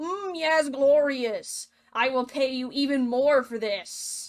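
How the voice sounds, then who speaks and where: A woman's put-on character voice, high-pitched and fairly slow. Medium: machinima.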